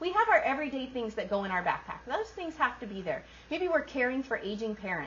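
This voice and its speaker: A loud, high-pitched woman at a very fast pace, with very wide pitch swings and noticeable background noise. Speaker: workshop presenter. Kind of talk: workshop talk.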